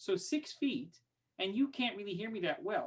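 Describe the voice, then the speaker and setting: A man speaks at a high pitch, his voice swinging very widely up and down. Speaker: online teaching workshop facilitator, music educator. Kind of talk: webinar tutorial. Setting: online webinar. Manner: fast. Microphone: expensive studio microphone; far from the mic, six feet away.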